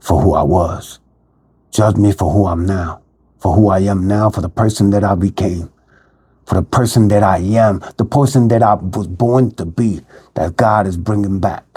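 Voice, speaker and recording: A man's fairly low, somewhat breathy voice with a dark, mellow tone, ordinary pitch variation and a Philadelphia accent. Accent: Philadelphia urban American English. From Philadelphia (North Philly). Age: 50s. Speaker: recovering addict sharing his life story. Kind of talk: personal testimony monologue. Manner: halting, many fillers (um, repeats).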